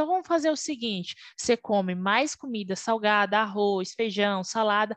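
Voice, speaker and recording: A normal speaking voice, dry and close with no echo, against a quiet background. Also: woman. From Brazil, Alagoas (Northeast). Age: 20s. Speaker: Scrum Master, former QA analyst. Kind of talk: interview.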